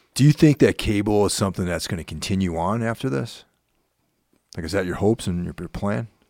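A man with a fairly low, dark, mellow voice talks at a very fast pace with lively intonation. The recording is very clean with a silent background, and the sound is dry and close with no echo. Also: big swings in loudness. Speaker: radio podcast host. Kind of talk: casual interview chat. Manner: casual, friendly.

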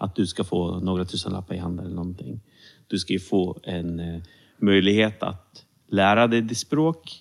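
Speaking at a moderate pace, a man with a very deep, low voice shows ordinary pitch variation. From Sweden, Serbian-born Roma. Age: 30s. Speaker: civil servant and minority rights consultant. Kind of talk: interview.

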